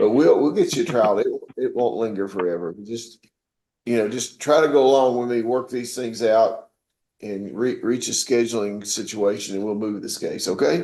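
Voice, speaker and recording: Man with a Southern US accent, medium-pitched and dark, mellow in tone, ordinary pitch variation, and audible room echo. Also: moderate pace. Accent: Southern country. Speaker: judge. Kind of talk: court proceedings. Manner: informal, folksy; stammering repetitions. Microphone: audio quality bad today.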